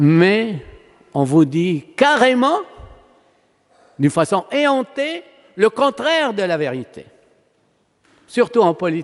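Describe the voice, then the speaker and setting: A man with an Arabic accent speaks very slowly at a high pitch, with very wide pitch swings and long, frequent pauses. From Palestine. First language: Arabic (speaking French). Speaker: priest. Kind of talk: sermon. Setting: church.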